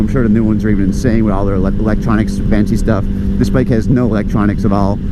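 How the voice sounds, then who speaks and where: Noticeable background noise runs under this clip. A man talks at a very fast pace. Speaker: motorcycle vlogger. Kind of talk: casual talk to camera. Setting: outdoors.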